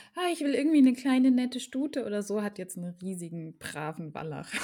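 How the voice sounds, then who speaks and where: Her tone dark and mellow, a woman talks at a fairly quick pace with lively intonation. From German region bordering France. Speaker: podcast host, horse owner. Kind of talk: casual chat.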